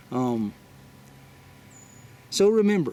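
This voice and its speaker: Speaking at a very slow pace, a man moves through very wide pitch swings. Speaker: spiritual video blogger. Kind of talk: spiritual talk to viewers. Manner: halting, many fillers.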